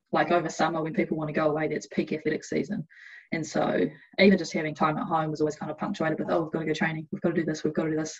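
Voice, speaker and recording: With a New Zealand accent, a woman speaks at a very deep, low pitch. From New Zealand, Hamilton. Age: 20s. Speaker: Olympic athlete. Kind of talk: interview.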